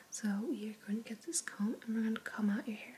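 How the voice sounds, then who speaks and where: A woman whispers, soft-spoken, at a fairly quick pace. Noticeable background noise is present. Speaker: ASMR artist doing a haircut role play. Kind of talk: ASMR role play. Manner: soft-spoken, whispering.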